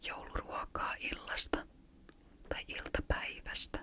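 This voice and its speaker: Noticeable background noise sits under a whisper that goes at a very slow pace. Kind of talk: ASMR chat about childhood Christmas memories. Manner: whispered.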